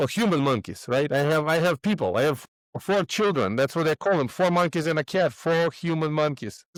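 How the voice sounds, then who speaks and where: In a Russian accent, a man talks at a fairly quick pace with a fairly high pitch, lively intonation and very even loudness, on a very clean recording with a silent background. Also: dry, close sound with no echo. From Moldova. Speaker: real estate investor. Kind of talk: podcast interview.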